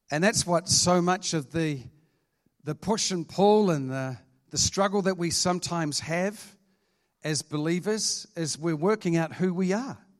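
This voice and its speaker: In a New Zealand accent, a man with a high pitch speaks at a fairly slow pace with ordinary pitch variation. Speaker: pastor. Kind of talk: sermon.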